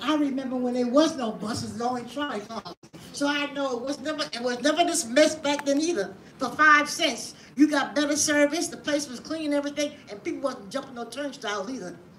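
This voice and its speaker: High-pitched female speech in an American accent, fairly quick, with ordinary pitch variation, big swings in loudness and noticeable background noise. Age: 80s+. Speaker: public commenter. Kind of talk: public hearing testimony. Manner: animated.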